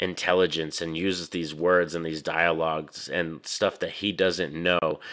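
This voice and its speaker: With an American accent, a man talks at a moderate pace in a very deep, low voice with a bright, sharp tone against a quiet background. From New Mexico, US. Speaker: movie reviewer YouTuber. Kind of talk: casual video review. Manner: animated. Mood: enthusiastic. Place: home room. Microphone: studio mic.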